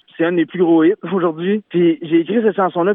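A man is speaking. His voice sits high in pitch. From Quebec, Beauce. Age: 20s. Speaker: singer-songwriter. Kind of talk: radio interview.

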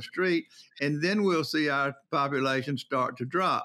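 The voice carries a Southern US accent and a bright, sharp tone. Intonation stays fairly even at a moderate pace. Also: man. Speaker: prison commissioner. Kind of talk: interview. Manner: blunt, straight-talking.

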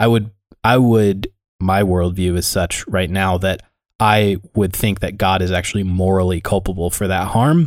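With an American accent, a man speaks at a very deep, low pitch. He keeps a moderate pace and fairly even intonation. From US. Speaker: podcast co-host. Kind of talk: casual roundtable chat about faith. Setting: podcast recording with microphones.

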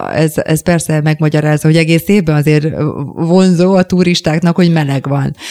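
A woman with a plain, everyday voice speaks at a fairly quick pace in a fairly low pitch. Her intonation stays fairly even, and the sound is dry and close with no echo. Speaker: radio host. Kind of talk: interview. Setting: studio.

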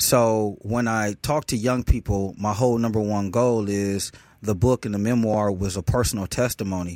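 In an American accent, a man with an ordinary speaking voice talks at a moderate pace, his pitch fairly low and his intonation fairly even. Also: dry, close sound with no echo. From Milwaukee, Wisconsin. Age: 40s. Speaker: airbrush artist and nonprofit founder. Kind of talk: casual interview chat.

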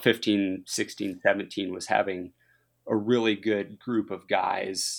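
Here a man with an American accent has a plain, everyday voice, pitched fairly low with fairly even intonation. The recording is very clean, with a silent background. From Minnesota, US Midwest. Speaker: professional biathlete and soldier athlete. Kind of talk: interview.

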